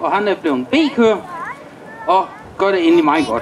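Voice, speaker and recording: A man speaks with crowd noise in the background. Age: 40s. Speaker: motocross rider and event announcer. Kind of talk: announcing riders at a public demonstration.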